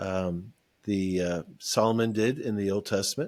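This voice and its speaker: A man talks at a fairly slow pace with ordinary pitch variation in an unremarkable speaking voice. The recording is very clean, with a silent background. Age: 60s. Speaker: ministry founder. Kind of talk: podcast interview testimony.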